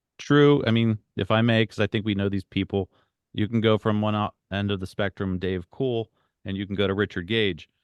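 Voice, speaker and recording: A man's unremarkable speaking voice, fairly low in pitch, at a fairly quick pace with fairly even intonation. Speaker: 9/11 truth activist. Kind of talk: group discussion Q&A.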